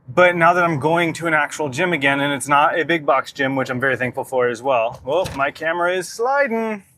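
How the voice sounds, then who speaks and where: A man speaks at a fairly quick pace with hardly any pauses, his fairly high voice bright and sharp in tone, with ordinary pitch variation. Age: 30s. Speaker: fitness vlogger. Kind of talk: casual vlog monologue. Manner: casual, conversational; quiet at times.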